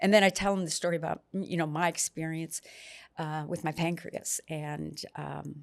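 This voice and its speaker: On a very clean recording with a silent background, a woman with an unremarkable speaking voice talks at a moderate pace, with a fairly low pitch and fairly even intonation. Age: 60s. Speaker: patient sharing experience. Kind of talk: interview.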